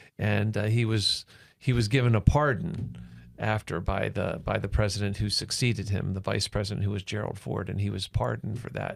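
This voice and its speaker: In a very clean recording with a silent background, a man with a fairly low voice and vocal fry talks at a fairly quick pace with ordinary pitch variation. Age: 60s. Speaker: pastor. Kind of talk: casual chat. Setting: studio. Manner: halting.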